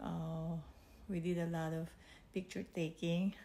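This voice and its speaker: The woman's voice is somewhat breathy. She talks fairly slowly. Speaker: vlogger. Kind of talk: casual vlog chat. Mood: warm, grateful, smiling. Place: home room. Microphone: phone near.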